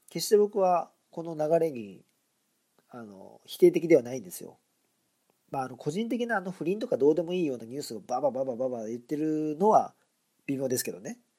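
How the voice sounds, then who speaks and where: At a fairly quick pace, a man with a fairly high pitch and a dark, mellow tone makes very wide pitch swings. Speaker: podcast host. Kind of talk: solo monologue podcast commentary. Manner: casual, chatty, conversational.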